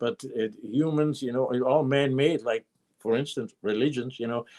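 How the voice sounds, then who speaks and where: The man's tone is dark and mellow, at medium pitch with fairly even intonation. The sound is dry and close, with no echo. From Austria (Vienna). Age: 70s. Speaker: guitar maker. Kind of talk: interview. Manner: halting.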